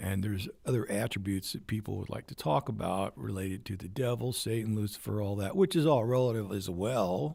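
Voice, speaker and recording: A man's fairly low-pitched voice, dark and mellow in tone, at a fairly quick pace with hardly any pauses. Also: ordinary pitch variation. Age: 70s. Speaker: military veteran and channel host. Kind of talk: solo livestream monologue. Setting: home livestream on computer. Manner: halting.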